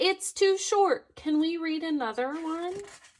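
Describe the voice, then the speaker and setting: A woman puts on a squeaky character voice at an extremely high pitch. She talks at a fairly slow pace. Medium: read story. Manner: whiny, fretful.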